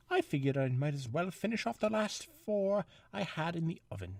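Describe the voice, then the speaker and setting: Putting on a character voice, a man speaks fairly quickly at a high pitch on a very clean recording with a silent background. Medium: read story. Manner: bubbly, upbeat.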